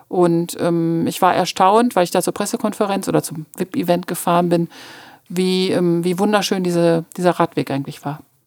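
Recorded with a dry, close sound and no echo, a woman with a fairly low pitch has a plain, everyday voice. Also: ordinary pitch variation, moderate pace. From Münster, Westphalia, Germany. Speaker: journalist. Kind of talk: casual interview.

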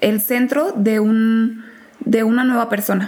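Speaking with a fairly high voice, a woman is heard against noticeable background noise. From Mexico, small town in Guanajuato. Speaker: law graduate. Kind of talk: interview chat.

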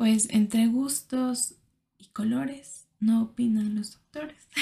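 This woman's voice sits at a fairly high pitch, somewhat breathy with a dark, mellow tone, and moves at a very slow pace. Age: 20s. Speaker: podcaster. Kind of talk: personal monologue. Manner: halting.

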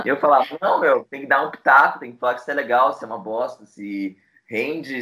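Here a man talks at a fairly quick pace. His tone is bright and sharp. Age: 20s. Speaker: music journalist and publicist. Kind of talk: casual interview.

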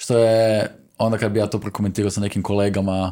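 A man's fairly low-pitched voice, dark and mellow in tone, at a fairly quick pace. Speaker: stand-up comedian. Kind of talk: casual interview chat. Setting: studio.

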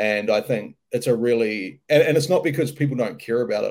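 With a New Zealand accent, a man talks at a fairly quick pace. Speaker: mental skills coach. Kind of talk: casual interview.

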